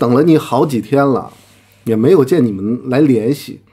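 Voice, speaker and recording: Behind a quiet background, the speaking keeps a moderate pace. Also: man. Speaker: commentator. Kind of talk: heated rant. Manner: aggressive, confrontational. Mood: mocking, challenging. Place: home room.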